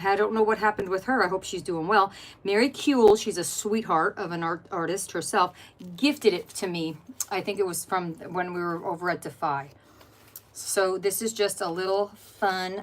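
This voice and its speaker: A woman's medium-pitched, animated voice at a moderate pace, with ordinary pitch variation. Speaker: craft livestreamer. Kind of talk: casual livestream chat while crafting. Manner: chatty, animated.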